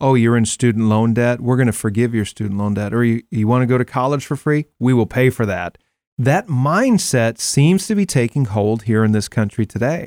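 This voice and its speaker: A man with an American accent talks in a normal speaking voice at medium pitch and a moderate pace. His pitch variation is ordinary, and the recording is very clean with a silent background. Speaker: radio host. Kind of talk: interview conversation. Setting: studio.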